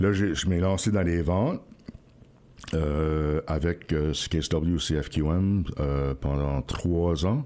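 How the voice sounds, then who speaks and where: A man speaks at a very slow pace with a very deep, low pitch and ordinary pitch variation. Noticeable background noise sits behind him. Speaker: radio host. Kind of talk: interview. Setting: radio studio.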